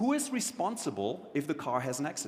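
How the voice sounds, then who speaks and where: Audible room echo follows a man with a slight German accent whose pitch swings very widely. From Germany. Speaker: keynote speaker on technology and the future. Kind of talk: conference keynote talk.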